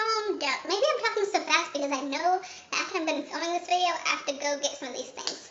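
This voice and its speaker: Against noticeable background noise, a woman with an extremely high pitch talks at a fairly quick pace with hardly any pauses. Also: ordinary pitch variation. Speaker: beauty and lifestyle vlogger. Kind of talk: behind-the-scenes bloopers. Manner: fast.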